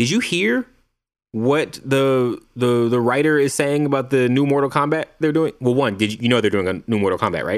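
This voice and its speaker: A man with an unremarkable speaking voice, medium in pitch with ordinary variation, in a very clean recording with a silent background. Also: moderate pace, very even loudness. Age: 30s. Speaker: film podcast co-host. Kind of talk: casual chat.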